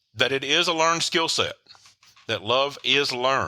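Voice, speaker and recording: A man speaks with a Tennessee accent at a moderate pace. His tone is bright and sharp, on a very clean recording with a silent background. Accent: Southern US (Tennessee). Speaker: author and relationship coach. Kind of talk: podcast interview. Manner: hesitant, frequent filler words.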